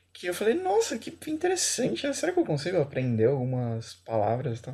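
The background is silent and the recording very clean. It carries a man's voice. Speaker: podcast co-host. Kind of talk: casual chat. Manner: animated.

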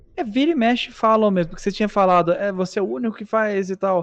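A man talks at a very fast pace with a high pitch. The sound is dry and close, with no echo. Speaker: gaming YouTuber. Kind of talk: casual chat.

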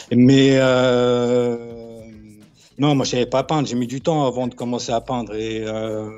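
At a very slow pace, a man with a medium pitch speaks in a monotone, flat intonation broken by long, frequent pauses. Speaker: graffiti writer. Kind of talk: interview. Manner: halting.

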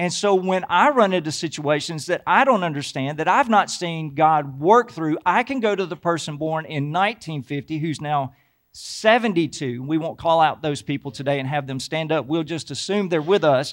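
An ordinary speaking voice from a man with an American accent, fairly high in pitch, at a moderate pace with hardly any pauses and ordinary pitch variation, in a very clean recording with a silent background. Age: 50s. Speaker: pastor. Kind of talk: sermon. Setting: church.

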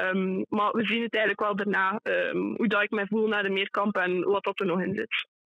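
A woman talks at a moderate pace and medium pitch in a monotone, flat intonation, with very even loudness and hardly any pauses. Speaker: junior athlete. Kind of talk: interview. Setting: phone call.

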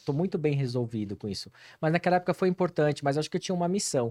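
Here a man's dark, mellow voice moves through very wide pitch swings. The sound is dry and close with no echo, on a very clean recording with a silent background. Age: 40s. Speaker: hair transplant clinic marketing professional. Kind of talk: casual interview.

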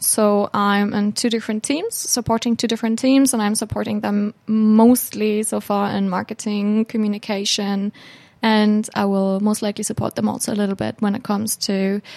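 In a German accent, a woman speaks at a moderate pace in a fairly high pitch with monotone, flat intonation, and the sound is dry and close with no echo. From Hamburg, Germany. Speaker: student intern. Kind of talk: interview. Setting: studio.

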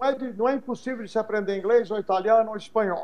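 A man is speaking. His voice is high-pitched. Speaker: English teacher and pastor. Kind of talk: podcast interview. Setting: live-streamed podcast.

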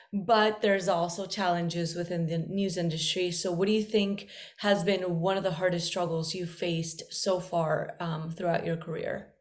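A woman's fairly low, flat, monotone voice at a moderate pace with hardly any pauses, in a room with audible echo. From Medellin, Colombia. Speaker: journalist podcast host. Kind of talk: interview.

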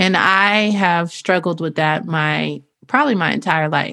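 A woman speaks at a medium pitch with ordinary pitch variation, vocal fry and a bright, sharp tone, on a very clean recording with a silent background. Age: 30s. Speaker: podcast co-host. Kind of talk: casual chat.

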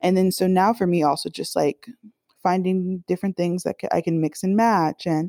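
Recorded dry and close with no echo and a completely silent background, a woman with an American accent speaks at a moderate pace in a dark, mellow tone. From Miami, Florida. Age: 20s. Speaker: journalist and podcaster. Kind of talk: casual interview chat.

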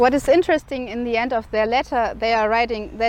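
Fairly high female voice with a German accent and ordinary pitch variation. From Germany. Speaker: independent journalist. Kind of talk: video statement. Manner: halting.

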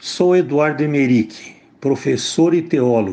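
With lively intonation, the man's speech moves at a very slow pace. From interior of São Paulo state, Brazil. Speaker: theologian and teacher, former student activist. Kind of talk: personal testimony. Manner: formal.

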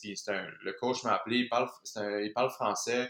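A man speaks with a Quebec accent. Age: 30s. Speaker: professional hockey player. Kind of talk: casual chat.

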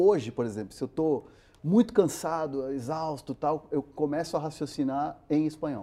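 A man's fairly high yet dark, mellow voice at a moderate pace, with ordinary pitch variation. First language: Spanish (speaking Portuguese). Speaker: sports reporter. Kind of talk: interview. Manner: halting, many repetitions.

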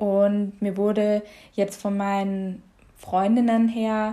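A woman's medium-pitched voice has a dark, mellow tone and a flat monotone, recorded very cleanly against a silent background. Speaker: yoga teacher. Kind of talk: casual conversation. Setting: at home in the kitchen.

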